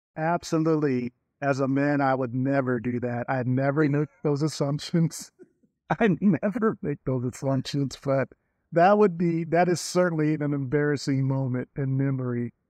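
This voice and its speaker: A man with an unremarkable speaking voice, fairly high pitch, ordinary pitch variation and a moderate pace, in a dry, close sound with no echo. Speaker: podcast host. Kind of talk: podcast interview.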